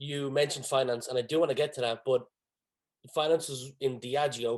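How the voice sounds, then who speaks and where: Fairly even intonation from a man at medium pitch and a fairly quick pace. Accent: Dublin. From Ireland. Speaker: podcast host. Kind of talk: podcast interview.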